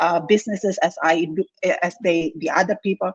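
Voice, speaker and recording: The sound is dry and close with no echo as a woman talks at a moderate pace in a somewhat breathy voice. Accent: non-native. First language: not English. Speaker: engineer turned online entrepreneur. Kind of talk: interview testimony. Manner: halting.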